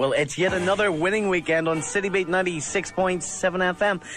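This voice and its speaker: With faint music in the background and a dry sound with no echo, a man speaks very fast in a high pitch with ordinary pitch variation. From Northern Ireland. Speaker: radio DJ. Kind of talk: radio DJ links. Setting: radio studio. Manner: upbeat, chatty. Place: studio.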